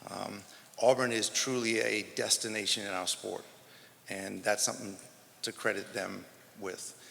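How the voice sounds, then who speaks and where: In an American accent, a man talks with a fairly low pitch, a bright, sharp tone, vocal fry and fairly even intonation, pausing long and often. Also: moderate pace. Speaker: track and field coach. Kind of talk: press conference speech. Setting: press conference.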